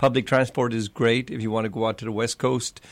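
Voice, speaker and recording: Monotone and flat in intonation, a man speaks very fast at a medium pitch. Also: very clean recording, silent background. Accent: southern Irish. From Ireland, Clonmel, County Tipperary. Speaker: restaurant and bar owner. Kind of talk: casual chat.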